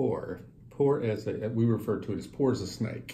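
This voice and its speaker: A man with an American accent sounds somewhat breathy, with a dark, mellow tone, lively intonation and audible room echo. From US South, western Kentucky (rural Breckinridge County). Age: 60s. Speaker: businessman. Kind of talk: interview.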